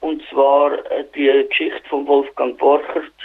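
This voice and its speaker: A man speaks with a Swiss accent. His pace is very slow. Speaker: community radio presenter. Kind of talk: radio presenting. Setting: phone call. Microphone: telephone line quality.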